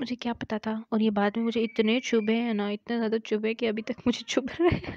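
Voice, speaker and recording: A woman's fairly high voice at a moderate pace, monotone and flat in intonation, with a dry, close sound and no echo. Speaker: vlogger. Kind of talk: vlog voice-over. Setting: indoors, voice-over recording.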